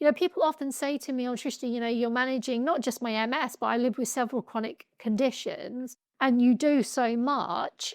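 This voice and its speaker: A woman with a British accent speaks at a moderate pace in a high voice with ordinary pitch variation. The recording is very clean, dry and close, with no echo and a silent background. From UK. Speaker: patient advocate. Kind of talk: podcast interview.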